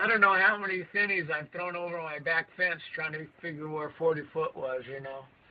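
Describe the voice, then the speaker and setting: Moderate-paced speech with hardly any pauses, ordinary pitch variation and big swings in loudness over noticeable background noise. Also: man, high pitch for a man. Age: 70s. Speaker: bass angler. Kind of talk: casual chat. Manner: halting.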